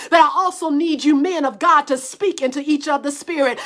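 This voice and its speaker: A woman's animated tone comes through at a fairly quick clip, with noticeable noise in the background. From US South. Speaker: preacher. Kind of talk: sermon. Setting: livestream. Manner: stammering repetitions.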